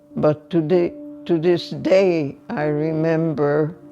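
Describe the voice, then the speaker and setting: Over music in the background, a woman speaks at a very slow pace in a very deep, low pitch with ordinary pitch variation. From Hungary. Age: 80s+. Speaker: Holocaust survivor. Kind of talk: interview answer.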